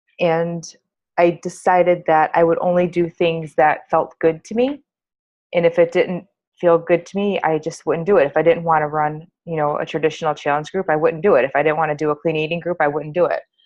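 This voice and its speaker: A woman speaks with a fairly low pitch at a fairly quick pace. Her intonation is flat and monotone. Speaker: health and fitness business coach. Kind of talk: group call discussion. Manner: loud.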